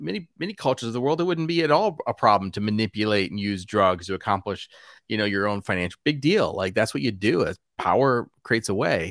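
A man's fairly low voice with an American accent, very fast and lively in intonation, very clean and silent in the background, dry and close with no echo. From US Midwest, Wisconsin. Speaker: pastor. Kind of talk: casual interview chat.

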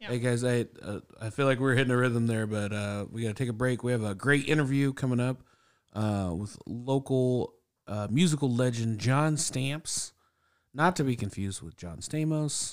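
An unremarkable speaking voice from a man, medium in pitch, with ordinary pitch variation, a moderate pace and a very clean recording over a silent background. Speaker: podcast host. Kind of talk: casual chat. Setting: studio.

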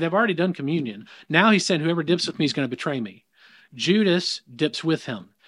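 A man with a slight Southern US accent speaks at a fairly high pitch and a fairly quick pace, with lively intonation and vocal fry. The recording is very clean, with a silent background. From US South. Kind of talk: casual conversation about faith.

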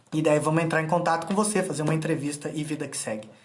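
A man's voice with audible room echo. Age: 30s. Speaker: freemasonry self-help instructor. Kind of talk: motivational live stream talk. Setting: Instagram live video.

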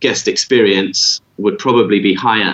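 A normal speaking voice from a man, fairly low in pitch, at a moderate pace. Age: 30s. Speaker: yacht captain. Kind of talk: interview. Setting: remote call.

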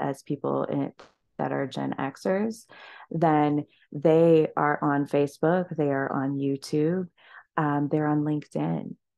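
A woman with a very deep, low pitch and a dark, mellow tone, at a fairly slow pace over a quiet background. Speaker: marketing consultant and motivational speaker. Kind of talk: interview. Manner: animated.

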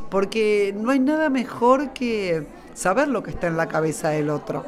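A woman's fairly high voice with music in the background. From Argentina. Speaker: writer and workshop leader. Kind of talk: interview at a book fair. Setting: live radio booth at a book fair.

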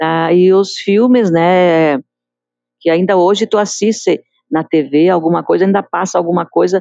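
A plain, everyday voice, fairly slowly paced, with pitch varying in an ordinary way. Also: woman. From Galópolis, Caxias do Sul, southern Brazil. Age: 60s. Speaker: community association member, local resident. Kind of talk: interview testimony.

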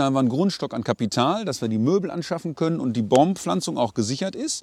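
With a plain, everyday voice, a man talks fairly quickly at a fairly high pitch. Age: 40s. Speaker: company managing director. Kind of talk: podcast interview. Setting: outdoors at a forest site.

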